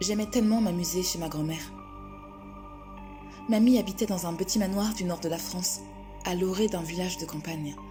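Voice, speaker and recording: A woman talks with long, frequent pauses over music in the background. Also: medium pitch for a woman, ordinary pitch variation, moderate pace. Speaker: storyteller. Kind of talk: horror story narration.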